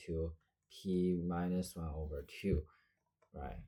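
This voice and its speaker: A man with a non-native accent and a dark, mellow tone speaks in monotone, flat intonation on a very clean recording with a silent background. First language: not English. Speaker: math tutor. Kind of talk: math lesson walkthrough. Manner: hesitant, many fillers.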